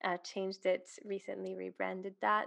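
This is a woman speaking. Her pitch is medium and her pace is moderate. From Switzerland. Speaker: business coach. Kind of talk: casual interview.

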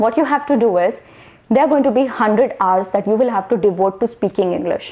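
Her voice sits fairly high for a woman. Her intonation is lively. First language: not English. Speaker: online English communication coach. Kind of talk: tutorial. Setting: solo video to camera. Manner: fluent, without pauses.

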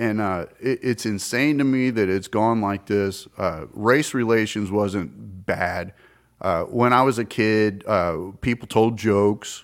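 Speaking very slowly, a man with an American accent uses a fairly low pitch. His pitch varies in an ordinary way. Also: very clean recording, silent background. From US South. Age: 50s. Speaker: podcast guest. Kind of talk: casual chat. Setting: bar.

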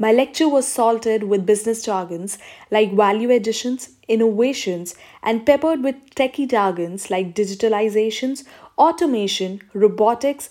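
At a moderate pace, a woman uses a normal speaking voice, fairly high in pitch with ordinary pitch variation. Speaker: audiobook narrator. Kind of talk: audiobook reading of a comic novel, first-person narration with satirical asides.

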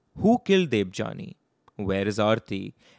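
A man with an unremarkable speaking voice and fairly low pitch talks at a fairly slow pace with ordinary pitch variation, in a dry, close sound with no echo. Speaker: podcast host. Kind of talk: true-crime narration. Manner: grave, measured storytelling.

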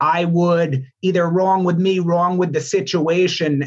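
Here a man talks with a New York accent. His pitch is high and his intonation fairly even. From New York state, Albany. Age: 30s. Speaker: student and coach trainee. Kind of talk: interview, reflective personal story.

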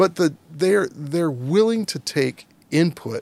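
A man with an American accent uses a normal speaking voice, a fairly high pitch and lively intonation. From Virginia, US. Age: 50s. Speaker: former diplomat and business council president. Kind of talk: interview.

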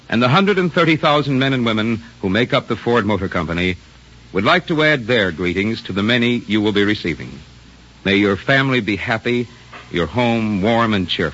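A fairly low-pitched man with lively intonation and long, frequent pauses, amid noticeable background noise. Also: moderate pace. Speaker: radio announcer. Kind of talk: radio announcer reading commercials and credits. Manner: formal, smooth, brisk.

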